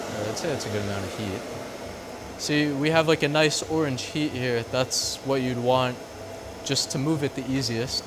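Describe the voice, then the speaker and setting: Heard over noticeable background noise, a relaxed voice with an American accent moves at a moderate pace with ordinary pitch variation. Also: man, medium pitch for a man. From New York, Long Island. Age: 20s. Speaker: blacksmith and artist. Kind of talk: casual documentary interview and demonstration. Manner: casual, relaxed.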